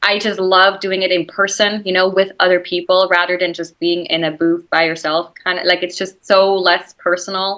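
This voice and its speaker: A woman with a slight Swiss German accent speaks at medium pitch and a moderate pace. Her intonation is monotone and flat, with hardly any pauses. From Switzerland. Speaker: actress. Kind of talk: interview conversation. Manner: casual, chatty.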